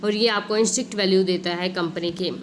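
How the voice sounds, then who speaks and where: Amid noticeable background noise and audible room echo, the speaker holds a moderate pace in a monotone, flat intonation. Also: woman. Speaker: online tutor. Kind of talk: exam revision lecture. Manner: soft-spoken.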